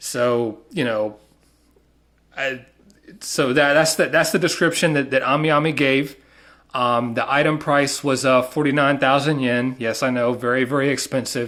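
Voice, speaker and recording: On a very clean recording with a silent background, a man with a Southern US accent speaks at a moderate pace in a fairly high pitch, his bright, sharp tone carrying fairly even intonation. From US South. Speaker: collector, unboxing video maker. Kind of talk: casual unboxing video. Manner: halting, many fillers.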